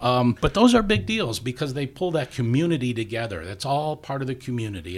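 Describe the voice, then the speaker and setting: On a very clean recording with a silent background, a man with an American accent speaks at a medium pitch and a fairly quick pace, somewhat breathy, with very wide pitch swings. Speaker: radio farm broadcaster, extension staff. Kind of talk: casual interview chat.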